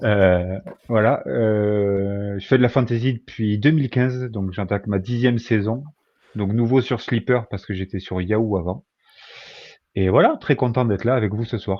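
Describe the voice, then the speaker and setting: A man in a southwestern French accent, with a fairly low pitch, ordinary pitch variation and a fairly slow pace. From southwest France, Agen. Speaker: podcast guest, fantasy football player. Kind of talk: casual chat.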